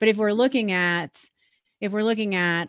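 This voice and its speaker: A woman speaks with ordinary pitch variation. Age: 40s. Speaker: podcast host. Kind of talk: interview. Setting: live online broadcast. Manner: animated.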